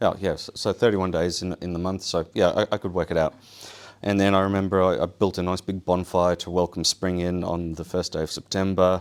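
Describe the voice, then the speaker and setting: A man speaks at a fairly quick pace in a very deep, low voice with monotone, flat intonation. The recording is very clean with a silent background. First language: Polish. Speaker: survival show winner. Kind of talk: public talk. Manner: casual, halting with fillers.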